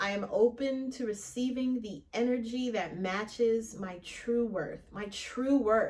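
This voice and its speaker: Over noticeable background noise, a woman speaks at a fairly slow pace in a fairly high voice, her loudness swinging widely. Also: ordinary pitch variation, hardly any pauses. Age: 30s. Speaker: podcast host. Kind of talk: casual monologue. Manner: casual, conversational.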